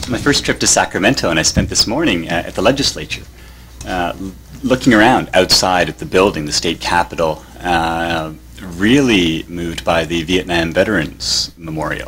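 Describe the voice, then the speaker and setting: With a Canadian accent, a man speaks at a moderate pace in a very deep, low voice with lively intonation over noticeable background noise. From Canada. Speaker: professor of religious studies. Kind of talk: conference talk. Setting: conference panel with audience.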